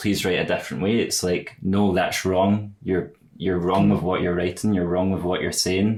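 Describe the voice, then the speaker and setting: A man with a slight Glaswegian accent. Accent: milder Glaswegian than family's broad accents. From Scotland, Glasgow. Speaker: podcast host. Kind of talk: casual interview conversation.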